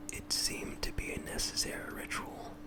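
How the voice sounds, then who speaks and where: Over noticeable background noise, a man whispers in a gentle tone at a moderate pace. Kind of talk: ASMR roleplay, reading quotes to a listener who cannot sleep. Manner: soft-spoken, gentle, calming.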